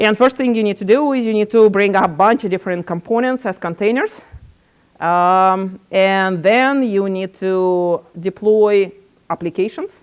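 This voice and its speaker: On a very clean recording with a silent background, a woman speaks at medium pitch with ordinary pitch variation. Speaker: tech company founder and CTO giving a talk. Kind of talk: conference presentation. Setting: meetup with audience. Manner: fast.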